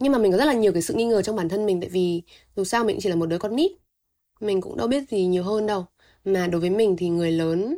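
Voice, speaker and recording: A woman at a very fast pace, medium in pitch with ordinary pitch variation and a dark, mellow tone. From Vietnam, Thanh Hóa province. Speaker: university student and youtuber. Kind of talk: personal testimony in interview.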